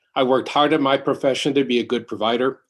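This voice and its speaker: Against a quiet background, a man with a normal speaking voice talks at medium pitch and a fairly quick pace, with ordinary pitch variation. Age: 60s. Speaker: congregant sharing covid survival story. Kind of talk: testimony.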